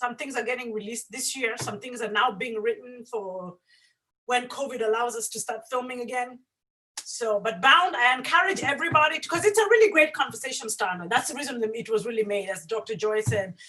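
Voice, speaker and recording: A woman with an African accent speaks at a fairly quick pace in a high pitch. Her intonation is lively, and her loudness swings widely. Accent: African accent, kept. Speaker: filmmaker. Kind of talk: panel discussion.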